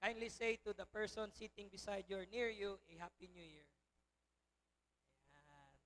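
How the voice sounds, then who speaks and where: With long, frequent pauses, a man speaks at a high pitch and with ordinary pitch variation. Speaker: pastor. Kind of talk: sermon. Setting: church.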